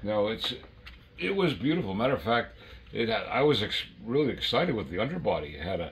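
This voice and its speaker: With audible room echo, a man speaks at a fairly quick pace and medium pitch, his pitch swinging very widely. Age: 80s+. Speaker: model train collector and former brass dealer. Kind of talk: casual chat. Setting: at home train layout.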